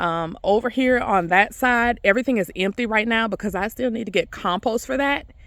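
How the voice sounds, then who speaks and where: A woman talks at a moderate pace, her pitch varying in an ordinary way, on a very clean recording with a silent background. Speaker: gardening vlogger. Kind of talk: casual garden tour vlog. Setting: outdoors in garden.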